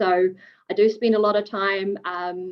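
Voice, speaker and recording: A woman talks with a New Zealand accent. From New Zealand, Wellington. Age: 20s. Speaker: fire engineer. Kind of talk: webinar presentation. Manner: casual, hesitant with many fillers.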